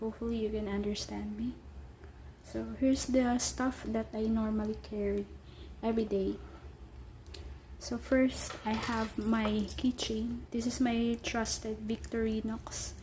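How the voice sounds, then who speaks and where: Over noticeable background noise, a woman with a Filipino accent talks at a fairly slow pace with long, frequent pauses. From Philippines. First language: Tagalog. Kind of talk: casual talk to camera.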